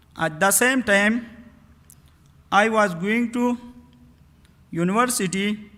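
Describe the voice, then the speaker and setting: A man's high, raised and projected voice, bright and sharp in tone, at a very slow pace with long, frequent pauses and ordinary pitch variation. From Afghanistan, Nangarhar province. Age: 30s. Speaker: refugee guest speaker. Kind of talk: personal testimony speech. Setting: synagogue service, live broadcast. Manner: halting, simple phrasing.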